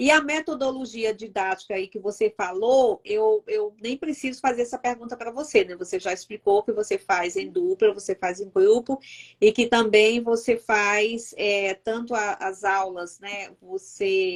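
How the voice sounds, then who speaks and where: A woman with an ordinary speaking voice talks at a fairly slow pace in a fairly high pitch, her intonation lively and the sound dry and close with no echo. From Northeast Brazil, Fortaleza. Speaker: YouTube host. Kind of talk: live-stream interview. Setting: live stream.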